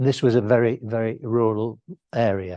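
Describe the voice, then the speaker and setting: In a quiet background, a man speaks at a fairly slow pace with a dark, mellow tone. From Yorkshire, northern England. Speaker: family history society speaker. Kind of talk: talk to a society audience. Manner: halting, many fillers.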